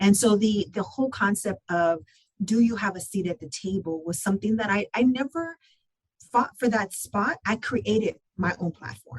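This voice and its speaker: A woman's lively, somewhat breathy voice at a medium pitch, moving at a fairly quick pace. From Southern California (San Gabriel Valley). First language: Spanish. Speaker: construction business process manager. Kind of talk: podcast interview.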